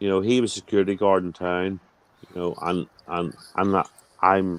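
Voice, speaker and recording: The speaker talks at a moderate pace. The voice is in a Northern Irish accent. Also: man, very deep, low pitch for a man. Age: 40s. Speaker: chat participant. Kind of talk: heated casual chat. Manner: animated.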